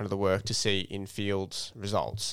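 An Australian-accented man talks at a moderate pace on a very clean recording with a silent background. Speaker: conservation bush crew worker and podcast co-host. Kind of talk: casual chat.

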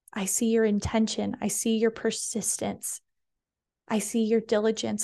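With a dark, mellow tone, a woman talks at a fairly slow pace in a monotone, flat delivery over a quiet background. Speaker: wellness coach and podcast host. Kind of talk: warm, uplifting pep talk spoken straight to the listener. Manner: earnest and sincere, steady and reassuring.

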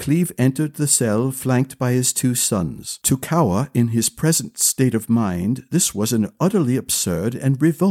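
A passage is read aloud in a natural voice.

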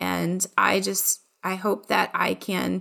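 Very clean audio with a silent background, featuring a woman with an American accent. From Ohio, US Midwest. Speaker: marketing director and podcast host. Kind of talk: casual interview chat.

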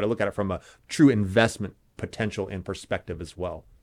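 Someone with an American accent talks at a very fast pace in a very clean recording with a silent background. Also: man. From Indianapolis, US Midwest. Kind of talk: interview.

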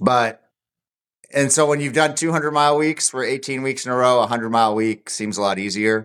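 A man with a normal speaking voice talks at a fairly quick pace, his medium pitch moving with ordinary variation, on a very clean recording with a silent background. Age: 40s. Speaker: ultra runner. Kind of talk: casual chat.

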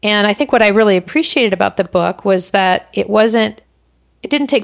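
At a moderate pace, a woman speaks in an ordinary speaking voice at a medium pitch, the sound dry and close with no echo. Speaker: coaching podcast host. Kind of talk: solo monologue, book recommendations. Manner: many filler words, conversational.

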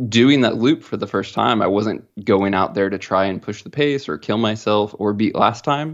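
A man speaks at a moderate pace in a normal speaking voice, his fairly low pitch moving with ordinary variation. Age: 30s. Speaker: hunter and outdoor gear company employee. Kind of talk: casual chat.

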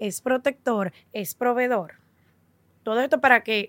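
The sound is dry and close with no echo, and the tone is bright and sharp. Delivery runs at a fairly slow pace with ordinary pitch variation. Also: woman. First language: English (speaking Spanish). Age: 40s. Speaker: podcast host. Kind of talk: casual chat.

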